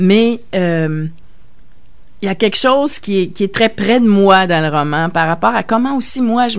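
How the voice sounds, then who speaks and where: A woman speaks with lively intonation in a room with audible echo. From Quebec, Verdun (Montreal). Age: 60s. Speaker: novelist. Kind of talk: radio interview. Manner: halting, many hesitations.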